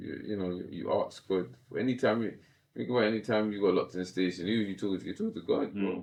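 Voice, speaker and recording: A man speaks at a very fast pace with a London accent. His pitch is fairly low, with ordinary variation. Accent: London multicultural English. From south-east London. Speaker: professional boxer. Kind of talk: podcast interview.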